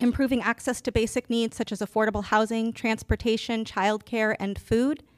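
A woman with an American accent talks at a moderate pace in a fairly high voice. It is an unremarkable speaking voice, with a dry, close sound and no echo. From Southern California and Japan. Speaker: city council candidate, community organizer. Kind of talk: candidate forum.

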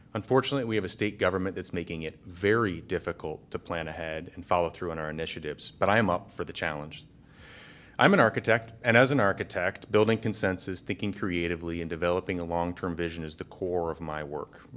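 A man with a Midwestern American accent talks at a very fast pace in a very deep, low pitch, with ordinary pitch variation and big swings in loudness. The recording is very clean, with a silent background. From north central Iowa. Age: 40s. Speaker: city council candidate. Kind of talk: candidate forum.

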